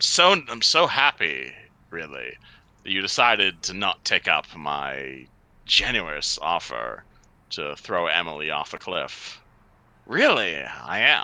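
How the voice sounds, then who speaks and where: In a put-on character voice, a man speaks at a fairly slow pace with a very deep, low pitch. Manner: sweetly sarcastic, nice.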